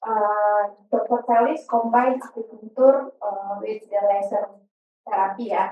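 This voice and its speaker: With an Indonesian accent, a woman of fairly high pitch speaks at a fairly slow pace with fairly even intonation over music in the background. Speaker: veterinarian, audience member. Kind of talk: Q&A question. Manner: halting.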